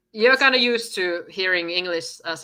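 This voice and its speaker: A woman with a Finnish accent and ordinary pitch variation. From Finland. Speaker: podcast guest, artist. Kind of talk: casual chat. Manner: halting.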